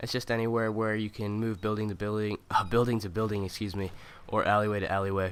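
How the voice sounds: The nasal voice moves at a fast pace with fairly even intonation. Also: man.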